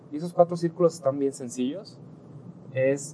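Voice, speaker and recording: Dark and mellow in tone, the voice moves at a moderate pace with ordinary pitch variation. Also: man. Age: 20s. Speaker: entrepreneur. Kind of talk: casual monologue. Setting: in a car.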